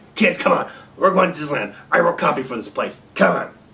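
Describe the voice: It is a put-on character voice. The pace is fairly quick. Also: man, high pitch for a man.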